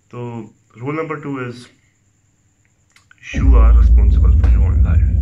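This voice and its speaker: A man speaks at a moderate pace in a very deep, low voice, his pitch swinging very widely and his loudness rising and falling sharply. Loud background noise runs underneath. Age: 20s. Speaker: self-help content creator. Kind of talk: motivational talk. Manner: code-switching Urdu and English. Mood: earnest, reflective. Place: home room.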